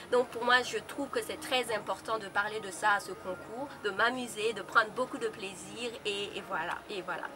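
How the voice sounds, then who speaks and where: Over noticeable background noise, a woman speaks at a moderate pace with ordinary pitch variation and big swings in loudness. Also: fairly high pitch for a woman. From Burkina Faso. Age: 20s. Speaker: beauty pageant contestant. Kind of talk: self-introduction. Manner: halting.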